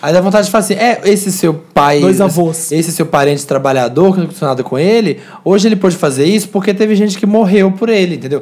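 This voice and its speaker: Racing along at a very fast pace with hardly any pauses, a man speaks in a high pitch with ordinary pitch variation. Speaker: YouTuber. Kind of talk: casual chat.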